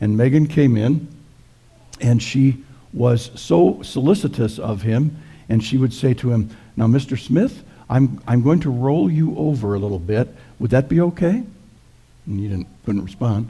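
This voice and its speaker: Lively intonation marks this man's speech, which moves at a moderate pace with long, frequent pauses. His tone is dark and mellow and somewhat breathy. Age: old. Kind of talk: sermon. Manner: halting.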